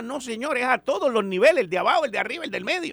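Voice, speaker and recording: Talking at a very fast pace, a man swings his pitch very widely over noticeable background noise. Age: 60s. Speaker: radio host. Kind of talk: radio talk show.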